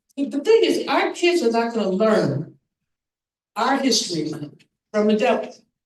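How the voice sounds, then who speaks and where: Long, frequent pauses break up speech with very wide pitch swings, heard with audible room echo. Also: woman, fairly high pitch for a woman, moderate pace. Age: 70s. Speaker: panelist, writer. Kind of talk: town hall panel discussion. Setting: church stage with audience.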